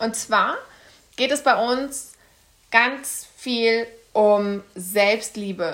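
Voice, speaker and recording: Here a woman speaks. Her intonation remains fairly even. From Kassel, Germany. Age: 20s. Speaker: podcast co-host, life coach. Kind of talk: casual chat.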